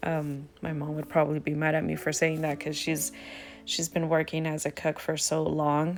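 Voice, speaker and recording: Music is heard behind the voice. The speaker, a woman, keeps a moderate tempo. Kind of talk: casual cooking talk to camera. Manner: casual, chatty, frequent fillers.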